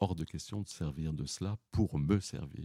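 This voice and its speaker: A man's dark, mellow voice with vocal fry and ordinary pitch variation, dry and close with no echo. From Paris region, France. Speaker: retired opera singer. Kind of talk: interview.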